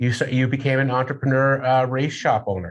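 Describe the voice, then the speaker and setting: An ordinary speaking voice with an American accent, at a fairly quick pace. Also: man. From Massachusetts. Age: 50s. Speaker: radio host. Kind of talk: radio interview.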